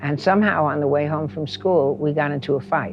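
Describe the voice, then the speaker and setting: A man with a New York accent speaks at a moderate pace, his pitch fairly high and his intonation lively. Music plays in the background. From New York City, Queens. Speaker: housing organizer. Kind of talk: interview storytelling.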